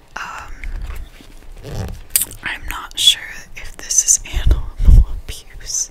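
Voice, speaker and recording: A woman whispers at a very slow pace, leaving long, frequent pauses. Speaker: ASMR creator. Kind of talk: casual chatty talk to camera about a bookstore visit and book pictures. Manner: whispered, soft-spoken. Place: home room. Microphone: studio mic.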